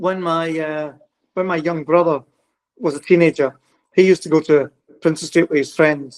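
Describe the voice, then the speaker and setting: With a Glasgow accent, a man with a high voice speaks with fairly even intonation and long, frequent pauses. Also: dry, close sound with no echo. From Scotland, Glasgow. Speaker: psychic medium. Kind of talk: casual chat.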